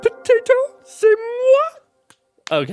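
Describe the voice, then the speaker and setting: An extremely high-pitched, squeaky character voice, clearly put on. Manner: theatrical, diva-like.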